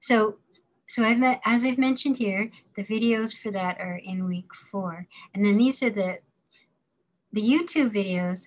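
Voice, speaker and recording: Somewhat breathy, a woman speaks at a fairly slow pace with long, frequent pauses and ordinary pitch variation. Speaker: course instructor. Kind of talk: lecture. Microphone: webcam.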